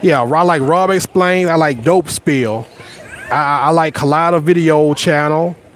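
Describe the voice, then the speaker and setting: Over noticeable background noise, a man with a Southern US accent speaks in an animated tone at a fairly high pitch. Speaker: YouTuber. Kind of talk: casual live stream chat. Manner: repetitive stammering starts.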